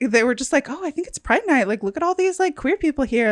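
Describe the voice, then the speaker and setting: A woman speaks loudly with very wide pitch swings. The sound is dry and close with no echo. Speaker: podcast co-host. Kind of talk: casual chat. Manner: casual, filler-heavy.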